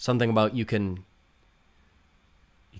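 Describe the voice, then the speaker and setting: A man with a fairly low pitch speaks in a Canadian accent, his pitch varying in an ordinary way. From Canada. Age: 40s. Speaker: options trader. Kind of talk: livestream Q&A. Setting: livestream. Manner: casual, filler-heavy.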